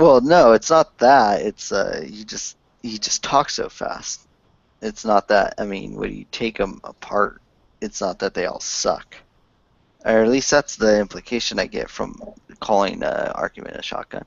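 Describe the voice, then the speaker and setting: A man talks at a fairly slow pace, with big swings in loudness. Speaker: online hangout host. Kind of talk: casual chat.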